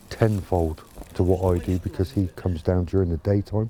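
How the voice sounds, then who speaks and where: Against noticeable background noise, a man with a very deep, low pitch talks at a fairly quick pace. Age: 60s. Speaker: allotment gardener. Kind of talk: casual interview.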